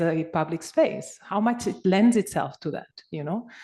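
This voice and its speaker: The speaker has a Spanish accent, lively intonation and a moderate pace. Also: woman. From Spain. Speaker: conference participant. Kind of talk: discussion comment. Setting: conference. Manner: halting.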